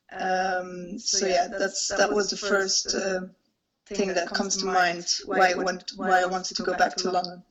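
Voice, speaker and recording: The speaker talks with a Flemish accent at a fairly slow pace. Intonation stays flat and monotone. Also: woman, medium pitch for a woman. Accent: Belgian (Flemish) English. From Belgium. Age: 20s. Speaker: investment banker. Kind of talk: interview. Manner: hesitant, many fillers.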